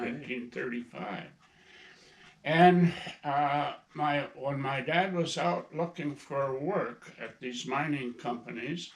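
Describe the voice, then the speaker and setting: Speaking very slowly in a Minnesota accent, a man uses a fairly high pitch with ordinary variation. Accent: Upper Midwest, Minnesota. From northern Minnesota, Iron Range. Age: 80s+. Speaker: grandfather and hunter. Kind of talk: casual interview, storytelling. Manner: halting, with fillers.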